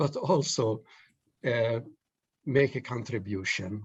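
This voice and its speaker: A man speaks in a somewhat breathy voice. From Palestine, Jerusalem. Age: 70s. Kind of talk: panel discussion. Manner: halting.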